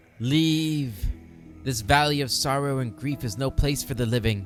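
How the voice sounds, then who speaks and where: A resonant put-on character voice from a man, medium in pitch, at a moderate pace with clear music in the background. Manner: pained, sorrowful.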